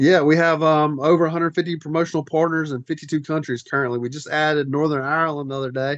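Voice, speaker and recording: With hardly any pauses, a man talks at a very fast pace in a fairly high pitch and monotone, flat intonation against a quiet background. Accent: Southern US. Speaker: wrestling federation executive director. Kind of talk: podcast interview.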